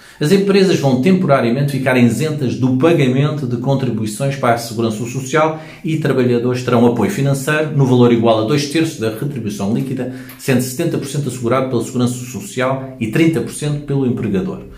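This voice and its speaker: In a European Portuguese accent, a man talks at a fairly quick pace with hardly any pauses. His pitch varies in an ordinary way, and audible room echo surrounds the voice. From Portugal. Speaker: hypnotherapist and self-help youtuber; self-help youtuber. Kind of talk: informational video monologue. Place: home room. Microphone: phone near.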